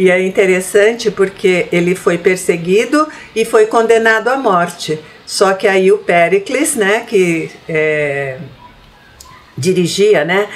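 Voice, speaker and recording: A woman's medium-pitched voice with lively intonation, a very slow pace and noticeable background noise. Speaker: spiritist lecturer. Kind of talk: lecture. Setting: online meeting.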